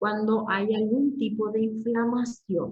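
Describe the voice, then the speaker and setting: A woman's fairly high voice at a very slow pace. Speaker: university lecturer. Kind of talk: lecture. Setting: online class.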